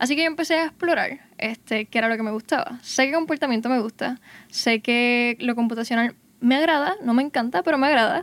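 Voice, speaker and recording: Recorded very cleanly against a silent background, a woman with a high voice speaks at a fairly quick pace, her loudness very even and the sound dry and close with no echo. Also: ordinary pitch variation. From Puerto Rico, Gurabo. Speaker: undergraduate microbiology student. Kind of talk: casual panel conversation.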